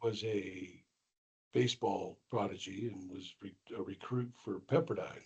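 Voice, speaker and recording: Somewhat breathy and dark, mellow in tone, a man speaks at medium pitch. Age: 60s. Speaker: school IT director. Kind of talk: casual chat.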